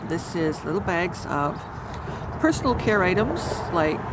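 A woman talks at a very slow pace over loud background noise, the sound dry with no echo. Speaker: community vlogger. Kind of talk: casual vlog chat. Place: garden. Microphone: phone near.

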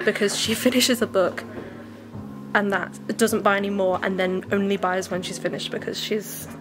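Clear music sounds behind the speaker. She is a woman, talking at a moderate pace. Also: ordinary pitch variation. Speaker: book vlogger. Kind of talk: casual vlog chat. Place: shop. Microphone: phone near.

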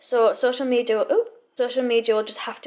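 Here a woman speaks with a high pitch. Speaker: vlogger. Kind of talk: casual vlog chat. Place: kitchen. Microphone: phone near.

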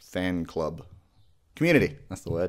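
With big pitch swings, a man speaks at a moderate pace.

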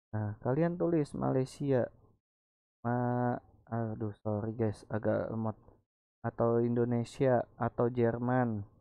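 A man with a medium-pitched voice talks very slowly, his intonation fairly even. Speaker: gaming YouTuber. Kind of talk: tutorial. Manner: casual.

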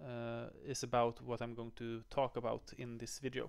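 A man speaks against a quiet background. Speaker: educator. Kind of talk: tutorial. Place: home room. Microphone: headset.

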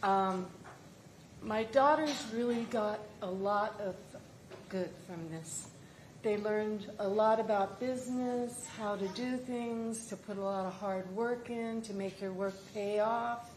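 At a very slow pace, a woman talks in a fairly high voice with fairly even intonation, amid noticeable background noise and audible room echo. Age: 80s+. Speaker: market vendor giving public testimony. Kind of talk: public testimony. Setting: council meeting chamber.

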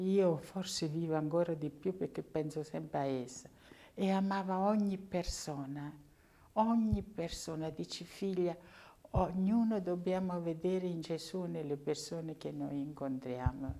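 A woman with a dark, mellow tone and fairly low pitch, fairly slow pace, ordinary pitch variation. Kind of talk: interview testimony; interview answer. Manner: halting, repetitive. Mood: warm, reverent remembrance. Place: church. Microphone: lapel.

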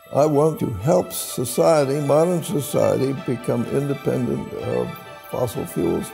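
Spoken at a fairly slow pace, with music clearly audible in the background. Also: man. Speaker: inventor and scientist. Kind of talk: interview answer. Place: office.

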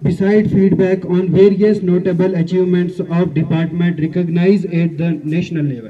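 Moderate pace, hardly any pauses and fairly even intonation from a man with a high pitch and a dark, mellow tone. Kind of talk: formal speech. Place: street. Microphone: podium.

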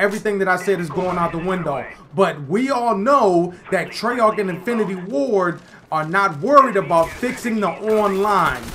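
A man talks at a high pitch in a raised, projected voice, keeping a moderate pace and ordinary pitch variation against noticeable background noise. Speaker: gaming YouTuber. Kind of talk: angry gameplay commentary rant to camera. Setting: home recording while playing a game. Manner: exasperated, indignant ranting with rhetorical questions; repetitive, stumbling delivery with repeated words.

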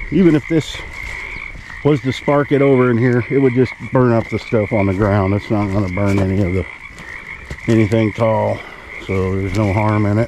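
Against noticeable background noise, a fairly low-pitched man talks at a moderate pace with ordinary pitch variation and long, frequent pauses, the sound dry with no echo. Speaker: homesteader vlogger. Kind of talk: casual vlog chat. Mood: relaxed, content. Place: open country. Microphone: phone near.

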